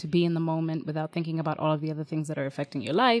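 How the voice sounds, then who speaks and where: A woman speaks with a very deep, low pitch and ordinary pitch variation. The sound is dry and close, with no echo. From Kenya. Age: 30s. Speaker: sex educator, podcast host. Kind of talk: casual chat. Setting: remote call.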